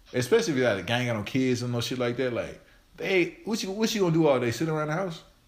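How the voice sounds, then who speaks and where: Over audible room echo, a man talks at a very fast pace in a fairly high pitch with very wide pitch swings. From Arkansas, Forrest City. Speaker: podcast host. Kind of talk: casual chat.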